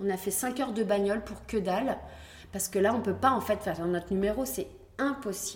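There is noticeable background noise as a woman talks at a fairly quick pace. Her pitch is medium with ordinary variation. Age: 40s. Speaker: pole dance champion and studio founder. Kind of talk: casual interview. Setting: dance studio. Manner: animated, laughing often.

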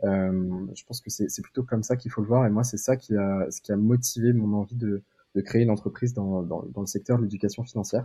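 His voice has a dark, mellow tone and fairly even intonation. The man talks at a fairly quick pace with big swings in loudness. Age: 20s. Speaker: entrepreneur, startup co-founder. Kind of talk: casual interview. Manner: hesitant, many fillers and repetitions.

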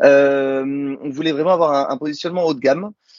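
A man speaks at a moderate pace in a medium pitch. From Morocco. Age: 30s. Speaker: toy company founder. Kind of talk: interview. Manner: animated.

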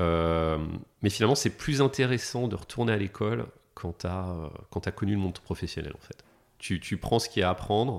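Over a silent background in a very clean recording, a man speaks at a moderate pace with a fairly low pitch and lively intonation. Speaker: technology executive. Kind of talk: casual interview. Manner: calm.

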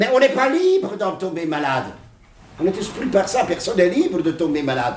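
There is audible room echo and noticeable background noise. A man speaks at a high pitch with very wide pitch swings. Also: fairly quick pace. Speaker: psychologist. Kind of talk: interview. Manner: animated.

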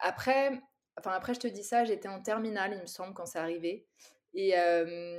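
A normal speaking voice at a moderate pace, ordinary pitch variation, and big swings in loudness. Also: woman, medium pitch for a woman. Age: 30s. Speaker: content creator. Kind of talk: casual chat.

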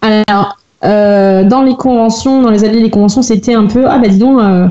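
This woman has an unremarkable speaking voice, fairly high in pitch. She talks at a moderate pace with ordinary pitch variation. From France, Rennes area. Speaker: cosplayer and blogger. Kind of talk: casual podcast interview.

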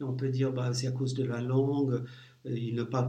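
A man speaks at a moderate pace and medium pitch with monotone, flat intonation. His voice is somewhat breathy and dark, mellow in tone, with audible room echo. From US Midwest, St. Louis, Missouri. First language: English (speaking French). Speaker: leadership coach. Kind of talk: interview.

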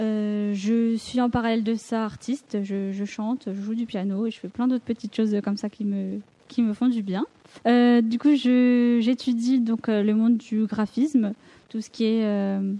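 Fairly high-pitched and dark, mellow in tone, a woman's voice moves at a fairly slow pace with fairly even intonation. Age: 20s. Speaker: graphic designer and student entrepreneur. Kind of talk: casual discussion.

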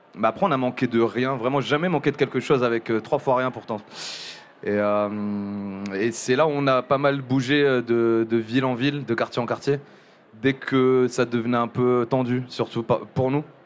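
A man at a medium pitch, fairly slow and fairly even in intonation, with music in the background. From southern France, Montpellier. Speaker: music journalist. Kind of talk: live podcast interview. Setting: live venue with audience. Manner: halting, many fillers and repetitions.

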